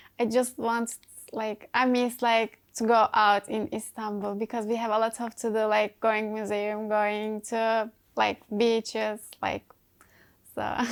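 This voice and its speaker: A woman's fairly high voice at a very slow pace, in a very clean recording with a silent background. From Turkey. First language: Turkish. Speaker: college track athlete. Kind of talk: interview. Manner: halting.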